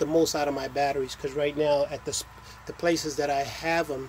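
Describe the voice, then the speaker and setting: The voice holds a monotone, flat intonation over light background noise. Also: man. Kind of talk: casual vlog chat. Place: home room. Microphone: phone near.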